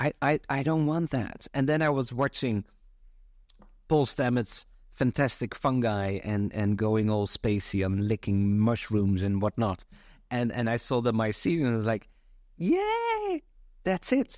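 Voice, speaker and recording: In a dry, close recording with no echo, a man with a Dutch accent speaks at a medium pitch. He talks fairly slowly, with very even loudness and ordinary pitch variation. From Netherlands. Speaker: community founder. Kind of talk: casual chat.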